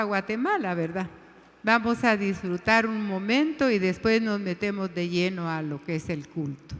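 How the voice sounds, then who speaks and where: A woman with a plain, everyday voice speaks at a medium pitch and a fairly slow pace, her intonation lively. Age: 60s. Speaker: women's ministry leader. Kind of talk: sermon.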